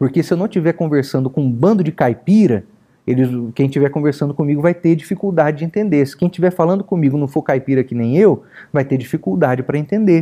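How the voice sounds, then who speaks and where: The voice has an interior São Paulo accent and moves at a very fast pace. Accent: inland Sao Paulo caipira with curled-back R. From inland Sao Paulo, Brazil.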